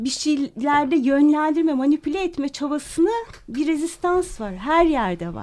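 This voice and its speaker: Lively in intonation, a woman talks fairly slowly at a high pitch. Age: 50s. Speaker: radio listener and supporter. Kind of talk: radio interview. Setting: radio studio. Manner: hesitant.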